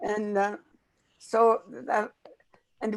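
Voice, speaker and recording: A woman speaks at a very slow pace. Her pitch sits fairly high. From northern Saskatchewan, Canada. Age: 80s+. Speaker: elder and chef. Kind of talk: storytelling. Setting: pre-recorded conversation.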